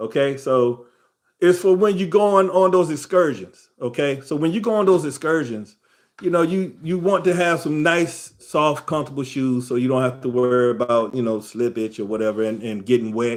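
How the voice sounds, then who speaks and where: Using an unremarkable speaking voice, a man talks at a moderate pace in a fairly high pitch with lively intonation. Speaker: travel livestream host. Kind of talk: casual livestream tutorial. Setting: live stream. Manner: casual, conversational.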